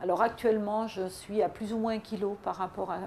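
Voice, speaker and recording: A woman's dark, mellow tone at a moderate pace. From Paris region, France. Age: 60s. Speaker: weight-loss program customer. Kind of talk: testimonial. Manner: halting, many hesitations.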